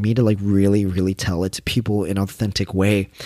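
In a very clean recording with a silent background, a man uses a normal speaking voice at a fairly low pitch. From Canada. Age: 20s. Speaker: podcast host. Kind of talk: solo monologue podcast.

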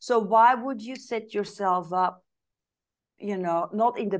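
With a Flemish accent, a woman talks at a moderate pace, her medium pitch showing ordinary variation. The background is quiet. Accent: Belgian (Flemish) English. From Belgium. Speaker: business advisor. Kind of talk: interview.

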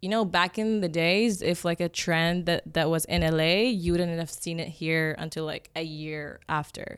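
A woman with an Egyptian accent talks with hardly any pauses, using a fairly low pitch and fairly even intonation. The recording is very clean, and the background is silent. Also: moderate pace. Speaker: makeup artist. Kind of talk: casual interview chat.

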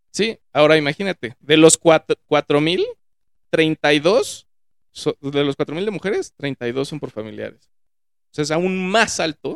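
Speaking at a very slow pace, a man with a fairly high pitch shows ordinary pitch variation, recorded with a dry, close sound and no echo. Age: 30s. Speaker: podcast guest, finance worker. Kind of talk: casual chat. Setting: studio, in person.

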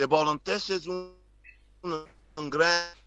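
At a fairly slow pace, a man with an English accent talks with fairly even intonation. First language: English (speaking Spanish). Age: 60s. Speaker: former basketball player and coach. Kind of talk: casual chat. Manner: halting.

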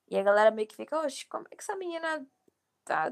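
This woman talks very fast. Her pitch swings over a very wide range. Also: dry, close sound with no echo. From Bahia, Brazil (Feira de Santana). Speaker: rapper. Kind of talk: casual interview.

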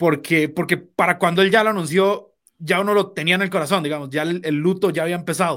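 A high-pitched man in a Costa Rican accent, very fast and with hardly any pauses, fairly even in intonation, in a very clean recording with a silent background. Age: 20s. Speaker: sports co-host. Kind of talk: casual sports talk.

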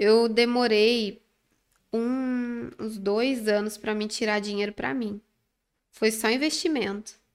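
A woman speaks very slowly, with long, frequent pauses. Her fairly high voice keeps a fairly even intonation. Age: 20s. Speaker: manicure and nail instructor. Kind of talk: casual interview. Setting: studio.

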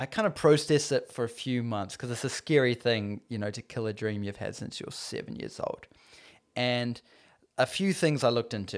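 A man talks at a moderate pace with a New Zealand accent. The recording is very clean, with a silent background. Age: 20s. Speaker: filmmaker. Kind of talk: casual chat. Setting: host's living room.

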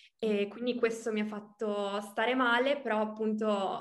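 A woman's fairly high voice in monotone, flat intonation, with audible room echo. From Emilia-Romagna, Italy (Reggio Emilia). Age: 20s. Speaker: coaching client. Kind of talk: interview testimony. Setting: video call.

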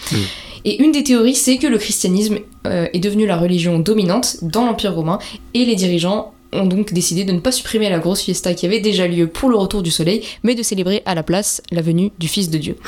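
A woman with a plain, everyday voice talks at a fairly quick pace. Her medium pitch shows ordinary pitch variation. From France, Portuguese family. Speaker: podcast co-host. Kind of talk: casual chat.

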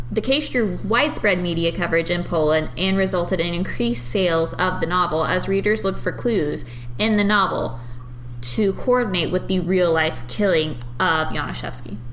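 Against noticeable background noise and audible room echo, a woman speaks at a moderate pace with very even loudness. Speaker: podcast co-host. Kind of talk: casual chat. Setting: dining room.

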